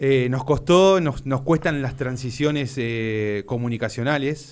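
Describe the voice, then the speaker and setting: This is a man with an ordinary speaking voice at medium pitch. He talks at a fairly slow pace with ordinary pitch variation. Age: 40s. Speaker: trade union official. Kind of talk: interview.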